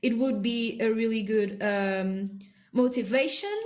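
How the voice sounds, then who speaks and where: The speaker has a non-native accent, with audible room echo around the voice. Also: woman. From non-English-speaking country. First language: not English. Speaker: artist, video creator. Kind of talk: casual narration over speedpaint. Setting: at home. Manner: halting, many fillers.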